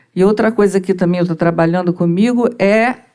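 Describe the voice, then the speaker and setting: Ordinary pitch variation in the medium-pitched voice of a woman. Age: 60s. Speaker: audience member, mental health professional. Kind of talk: audience question.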